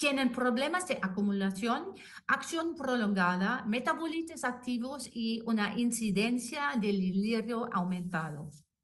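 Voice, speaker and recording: Audible room echo surrounds a woman's fairly high voice and lively intonation. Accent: non-native. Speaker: anesthetist and intensive care doctor. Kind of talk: lecture. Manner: halting.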